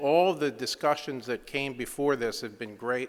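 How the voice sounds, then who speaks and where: On a very clean recording with a silent background, a man with a Philadelphia accent speaks at a moderate pace in a bright, sharp, fairly high voice with ordinary pitch variation. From US Northeast, Philadelphia. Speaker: engineering consultant. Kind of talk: conference presentation. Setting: conference stage with audience.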